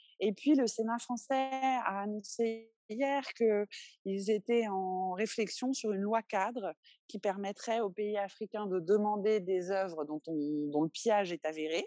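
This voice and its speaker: A dark, mellow tone at a very slow pace, with hardly any pauses, ordinary pitch variation and a dry, close sound with no echo. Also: woman, medium pitch for a woman. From France, Paris. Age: 30s. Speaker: museum founder and art advocate. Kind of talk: interview.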